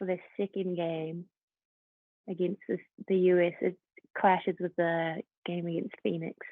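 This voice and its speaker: A woman speaks with a New Zealand accent. Her pitch is medium and her pace is fairly slow. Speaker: professional footballer. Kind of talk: casual interview.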